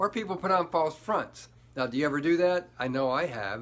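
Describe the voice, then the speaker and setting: His pitch varies in an ordinary way. The voice belongs to a man. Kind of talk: motivational vlog talk. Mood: earnest, reflective. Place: home room. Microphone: phone near.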